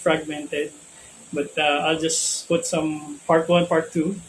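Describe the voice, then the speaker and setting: A fairly slow pace in a Filipino accent, with noticeable background noise. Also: man. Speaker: spiritual teacher. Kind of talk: spiritual talk. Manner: hesitant, many fillers.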